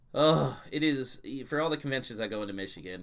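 With a bright, sharp tone and vocal fry, a man speaks at a moderate pace using lively intonation. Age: 30s. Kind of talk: casual chat.

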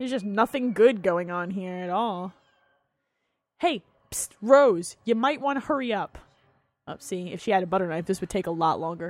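A woman with an American accent, medium-pitched, at a moderate pace with lively intonation and long, frequent pauses. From New Jersey. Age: 20s. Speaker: podcast host. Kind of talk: movie commentary. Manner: animated.

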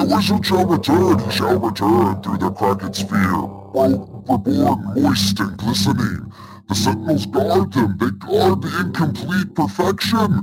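Amid loud background noise, a man does a put-on character voice with a fairly low pitch, fairly slow and very even in loudness. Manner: babbling.

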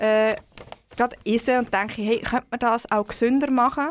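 A woman with a fairly high pitch uses a normal speaking voice and keeps a moderate pace. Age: 30s. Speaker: cookbook author. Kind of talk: casual interview.

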